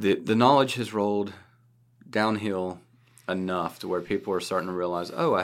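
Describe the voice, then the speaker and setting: On a very clean recording with a silent background, a man speaks in a plain, everyday voice, his fairly low pitch showing ordinary variation. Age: 30s. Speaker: cybersecurity podcast host. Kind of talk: casual chat.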